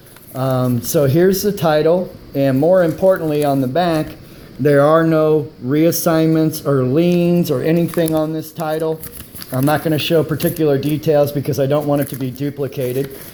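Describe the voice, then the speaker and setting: A man's fairly high voice at a moderate pace with fairly even intonation, amid noticeable background noise. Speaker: private seller reviewing his van. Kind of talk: casual vehicle walkthrough video. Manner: hesitant with many fillers.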